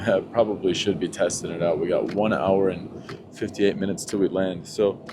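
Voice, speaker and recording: Over noticeable background noise, a man speaks at a fairly quick pace in a fairly low pitch. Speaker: travel vlogger. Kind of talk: travel vlog narration. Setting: on an airplane. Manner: animated.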